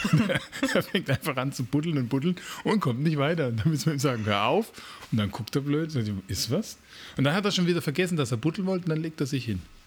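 A man's fairly high, somewhat breathy voice, very fast and with lively intonation. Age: 40s. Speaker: podcast co-host. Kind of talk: casual chat.

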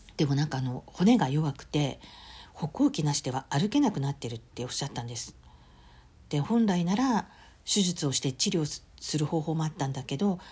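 In a very clean recording with a silent background, a woman speaks at a moderate pace in a very deep, low, somewhat breathy voice with a dark, mellow tone and lively intonation. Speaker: podcast host. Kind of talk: solo diary-style podcast monologue.

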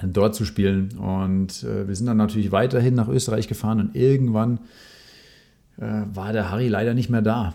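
This man has a dark, mellow tone and a fairly low pitch. His intonation stays fairly even. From Rhineland-Palatinate, near Bonn. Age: 30s. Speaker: former competitive tennis player. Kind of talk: casual chat. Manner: halting, many fillers.

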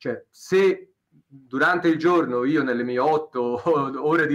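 Fairly high male voice, the man's pitch varying in an ordinary way. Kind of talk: interview. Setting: live stream. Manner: fast.

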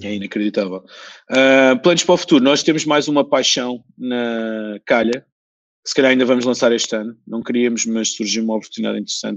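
Over a quiet background, a man talks at a fairly quick pace. His pitch is medium, with ordinary variation. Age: 40s. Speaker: entrepreneur. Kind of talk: interview. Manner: halting, many repetitions.

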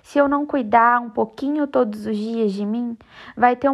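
Moderate pace and fairly even intonation in a woman's high voice. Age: 20s. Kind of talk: devotional reflection monologue.

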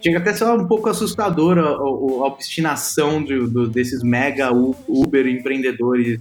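The pace is moderate. It is a plain, everyday voice. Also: man. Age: 30s. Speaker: tech startup founder. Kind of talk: interview.

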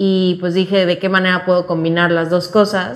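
Her voice is medium-pitched for a woman, with monotone, flat intonation. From Mexico, Cancún. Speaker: youth fiction editor. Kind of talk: casual chat. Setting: office.

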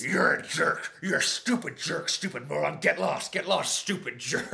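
A man's put-on character voice at a moderate pace. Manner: growling, insulting.

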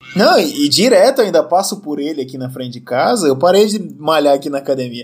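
The speaker delivers lively intonation at a very fast pace. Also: man. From Brazil. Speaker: podcast host. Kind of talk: casual chat.

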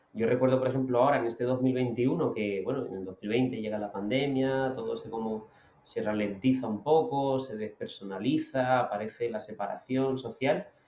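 Over noticeable background noise, a man at medium pitch talks at a moderate pace with hardly any pauses and ordinary pitch variation. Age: 30s. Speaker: motivational speaker. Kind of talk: interview. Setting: outdoors on a beach. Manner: calm.

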